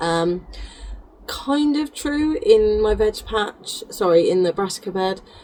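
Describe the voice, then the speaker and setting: Over noticeable background noise, a woman speaks very slowly at a fairly high pitch with very wide pitch swings. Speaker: gardener. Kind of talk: casual talk to camera.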